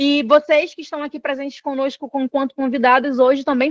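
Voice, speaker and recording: The speech moves at a fairly quick pace with fairly even intonation. The sound is dry and close, with no echo. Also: woman. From Pará, northern Brazil. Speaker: moderator of an online community panel. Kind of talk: panel discussion moderation. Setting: video call.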